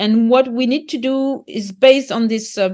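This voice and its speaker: At a fairly slow pace, a woman speaks with a French accent. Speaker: market gardener and author. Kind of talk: interview conversation. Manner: halting, with repetitions and fillers.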